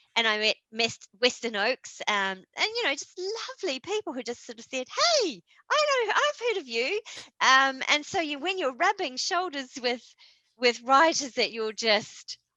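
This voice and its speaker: In a New Zealand accent, a woman uses a raised, projected voice at a high pitch with very wide pitch swings, a bright, sharp tone, a moderate pace and a dry, close sound with no echo. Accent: New Zealand, squeaky. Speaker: horror author. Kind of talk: interview. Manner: animated, with many fillers.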